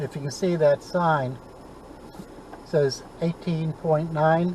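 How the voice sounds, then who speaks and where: Very slow, monotone, flat speech over noticeable background noise. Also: man, fairly high pitch for a man. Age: 70s. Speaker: vlogger. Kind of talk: casual narration while driving. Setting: in a car. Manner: relaxed, leisurely.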